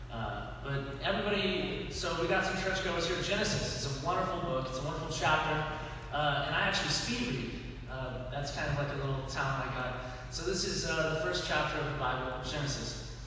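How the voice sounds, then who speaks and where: Strong room echo and light background noise surround the voice. It moves at a fairly quick pace with ordinary pitch variation. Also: man, fairly high pitch for a man. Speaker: comedian. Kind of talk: stand-up comedy. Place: church. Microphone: camera far.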